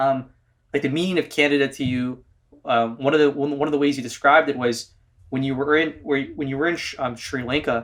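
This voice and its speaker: Talking at a fairly quick pace, a man with a fairly high pitch uses fairly even intonation in an ordinary speaking voice. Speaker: podcast host. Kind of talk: interview question.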